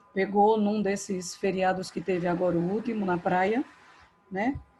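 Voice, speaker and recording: A soft-spoken woman talks at a medium pitch. Music plays in the background. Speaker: school English teacher. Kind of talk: online class. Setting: video call from home.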